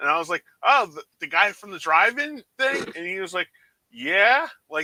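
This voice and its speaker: A man's high-pitched, raised, projected voice with very wide pitch swings and big swings in loudness, dry and close with no echo. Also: moderate pace. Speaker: movie channel creator. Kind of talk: casual chat.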